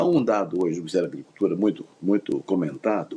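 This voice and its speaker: Pitched fairly low with a dark, mellow tone, a man's voice moves through very wide pitch swings. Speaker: agronomist and professor. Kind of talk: interview.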